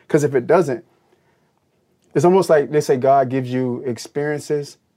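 A man's dark, mellow voice with an American accent, at a fairly quick pace and with ordinary pitch variation, on a very clean recording with a silent background. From US South, Pensacola, Florida. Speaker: motivational speaker and fitness coach. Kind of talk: interview conversation.

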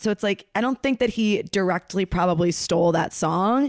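A woman's plain, everyday voice, medium in pitch, with ordinary pitch variation and a moderate pace. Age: 30s. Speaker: comedian. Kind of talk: casual chat. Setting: video call.

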